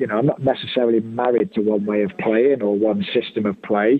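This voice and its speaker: Fairly quick pace and ordinary pitch variation from a man. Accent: Birmingham. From Birmingham, England. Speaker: soccer coach. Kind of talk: interview.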